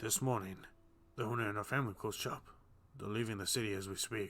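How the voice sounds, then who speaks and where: A man's put-on character voice, raspy and medium-pitched, at a very fast pace with fairly even intonation. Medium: read story. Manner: brisk, authoritative.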